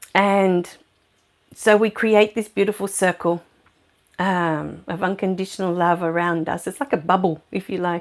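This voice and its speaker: On a very clean recording with a silent background, a woman with an Australian accent talks at a moderate pace and medium pitch, her intonation fairly even. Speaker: spiritual medium and livestream host. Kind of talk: casual livestream chat. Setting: live video stream. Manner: loud; very soft during meditation. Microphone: new clip-on mic on her top.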